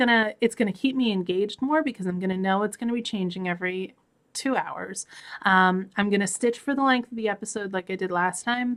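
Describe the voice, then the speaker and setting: In a very clean recording with a silent background, a woman of medium pitch speaks at a fairly quick pace with ordinary pitch variation. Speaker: crafting vlogger. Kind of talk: casual vlog. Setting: at home. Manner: fast; halting.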